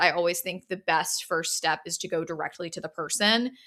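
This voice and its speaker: A woman in an American accent, a normal speaking voice, ordinary pitch variation and a fairly quick pace, on a very clean recording with a silent background. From US South. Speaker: podcast host and gallery owner. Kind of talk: solo podcast monologue. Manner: casual, filler-heavy.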